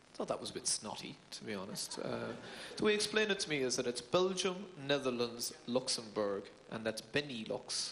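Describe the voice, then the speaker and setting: Against noticeable background noise, a man with a medium pitch talks at a moderate pace with lively intonation. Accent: Cork. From Ireland, Cork City. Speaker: stand-up comedian. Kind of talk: stand-up.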